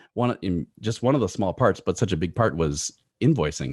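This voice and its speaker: Dry and close with no echo, a man's voice swings very widely in pitch while music plays in the background. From Minnesota and Bolivia. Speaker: voice actor. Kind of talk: interview. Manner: halting, stuttering.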